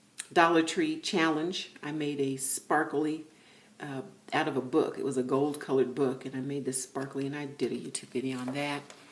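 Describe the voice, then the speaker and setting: Her pitch is very deep and low, and her pace is moderate. This woman speaks with a monotone, flat intonation. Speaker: craft YouTuber. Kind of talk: casual craft flip-through video. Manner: mumbling, distracted.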